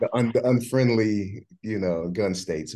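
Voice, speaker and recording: A man with an American accent speaks in a dark, mellow tone at a fairly low pitch, with ordinary pitch variation and a quiet background. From New Jersey. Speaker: business executive, firearms legal protection company co-founder. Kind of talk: casual chat. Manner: hesitant, lots of fillers.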